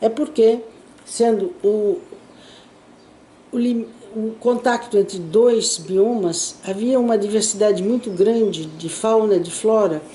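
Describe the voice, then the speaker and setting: Over noticeable background noise, a woman speaks very slowly with long, frequent pauses. Her pitch is fairly high, with ordinary variation. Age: 80s+. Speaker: archaeologist. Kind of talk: interview answer.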